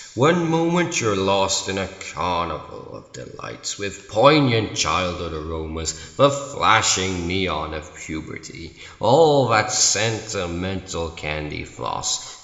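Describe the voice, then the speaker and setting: Using a put-on character voice, a man speaks at a fairly slow pace with slight echo. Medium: solo performance. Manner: theatrical, mocking.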